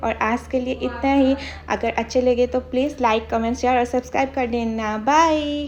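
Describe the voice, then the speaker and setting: With fairly even intonation, a woman talks at a high pitch. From Assam, India. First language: Assamese (speaking Hindi). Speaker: vlogger. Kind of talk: vlog narration.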